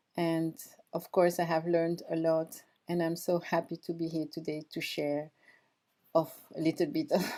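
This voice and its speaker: A woman with a strong French accent speaks at a moderate pace with long, frequent pauses, her fairly low, dark, mellow voice held in a monotone, flat intonation on a very clean recording with a silent background. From France (moved from Equatorial Guinea at age three). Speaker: former Olympic athlete and performance coach. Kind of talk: podcast interview.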